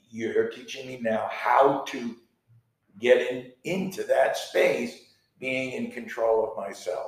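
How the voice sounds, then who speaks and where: Loudness swings widely as a man talks at a very slow pace with long, frequent pauses. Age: 60s. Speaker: podcast co-host and artist. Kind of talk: casual chat.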